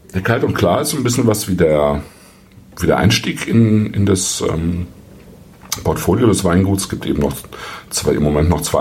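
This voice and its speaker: A man's very deep, low voice at a moderate pace with long, frequent pauses, audible room echo, and noticeable background noise. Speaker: wine podcast host. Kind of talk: solo wine review monologue. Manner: hesitant with frequent fillers.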